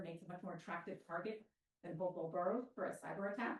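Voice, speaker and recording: A woman's very fast, somewhat breathy speech at a medium pitch. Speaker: resident asking questions. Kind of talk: public Q&A question. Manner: quiet, soft-spoken.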